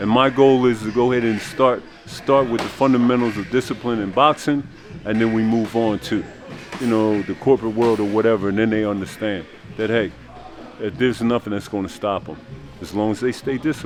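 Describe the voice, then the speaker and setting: Fairly quick and fairly even in intonation, a man speaks at a medium pitch. Music plays in the background. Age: 60s. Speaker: boxing coach. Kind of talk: casual interview. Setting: boxing gym.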